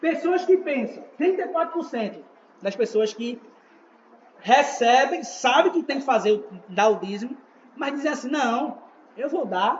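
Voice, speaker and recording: A man's extremely high voice with lively intonation, at a fairly slow pace broken by long, frequent pauses, over noticeable background noise. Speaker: evangelist teaching a church class. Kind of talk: church teaching class.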